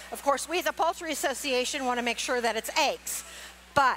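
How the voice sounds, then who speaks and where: A woman's raised, projected voice over light background noise. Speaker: cooking demonstrator for a poultry association. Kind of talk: live cooking demonstration. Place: stage. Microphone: headset.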